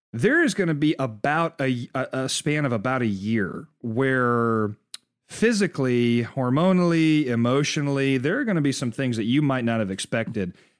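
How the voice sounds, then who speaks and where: A man in a normal speaking voice, medium pitch, lively intonation and a moderate pace. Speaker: podcast co-host. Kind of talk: casual chat.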